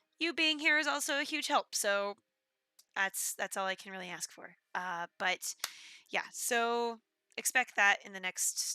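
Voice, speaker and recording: In a very clean recording with a silent background and a dry, close sound with no echo, a woman speaks at a moderate pace and medium pitch, her bright, sharp tone moving through very wide pitch swings and big swings in loudness. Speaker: game streamer. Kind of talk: casual live stream chat. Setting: live stream.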